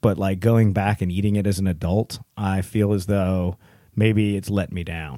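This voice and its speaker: An unremarkable speaking voice with an American accent moves at a moderate pace, on a very clean recording with a silent background and a dry, close sound with no echo. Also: man. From Texas. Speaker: podcast host.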